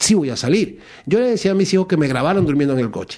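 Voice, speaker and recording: Over a quiet background, a man speaks at a high pitch. His tone is dark and mellow, and his intonation is lively. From Venezuela, Maracaibo. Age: 50s. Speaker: para-athlete, rower. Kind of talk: radio interview, personal testimony.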